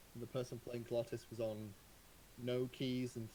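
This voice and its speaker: Somewhat breathy, a man talks at a medium pitch with monotone, flat intonation. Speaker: competitive card game player. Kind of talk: post-match interview. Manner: fast.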